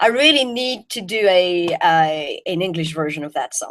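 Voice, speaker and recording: With a French accent, a woman speaks at a moderate pace with lively intonation. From Belgium. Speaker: jazz singer. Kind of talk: interview.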